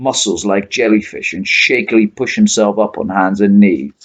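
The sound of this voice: Here the speaker reads in an unforced reading voice.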